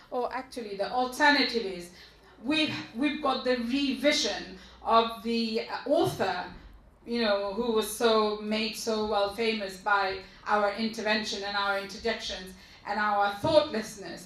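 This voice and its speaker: Speech at a fairly slow pace with ordinary pitch variation, audible room echo and noticeable background noise. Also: woman, fairly high pitch for a woman. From East London, England. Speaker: activist. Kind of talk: panel discussion. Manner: halting.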